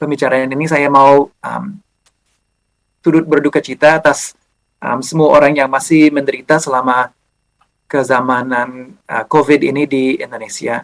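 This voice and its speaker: Fairly even intonation from a man with an English accent, a fairly high pitch and a fairly slow pace. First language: English (speaking Indonesian). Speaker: historian, university lecturer. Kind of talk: lecture. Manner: halting, many fillers.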